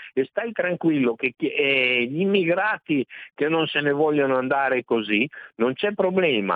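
Speaking at a fairly slow pace, a man with a plain, everyday voice uses lively intonation at a fairly high pitch while keeping his loudness very even. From Emilia-Romagna, Reggio Emilia. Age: 60s. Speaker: caller. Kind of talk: phone-in call. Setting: phone call.

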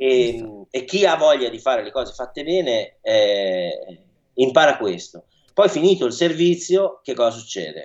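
A man at medium pitch speaks fairly slowly, with very wide pitch swings and big swings in loudness. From northern Italy, Milan. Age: young. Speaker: chef. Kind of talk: radio interview.

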